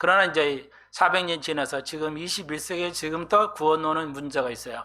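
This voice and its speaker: A man speaks quite fast in a fairly high voice, his pitch varying in an ordinary way. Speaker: pastor. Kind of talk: sermon. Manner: hesitant, many fillers.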